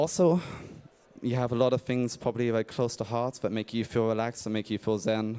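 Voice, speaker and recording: With an English accent, a man speaks at medium pitch in a dark, mellow tone, at a fairly quick pace with fairly even intonation. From England. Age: 30s. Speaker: indie game developer. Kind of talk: conference talk. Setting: stage with audience.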